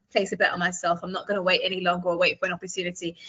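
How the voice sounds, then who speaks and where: With a British accent, a woman speaks at a very fast pace. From UK. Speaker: podcast host. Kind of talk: interview.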